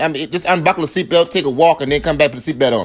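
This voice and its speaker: With a South Carolina accent, a man speaks in an animated tone. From US South, Charleston, South Carolina. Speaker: husband doing comedic voiceover. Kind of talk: comedic tutorial voiceover. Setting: voiceover recording.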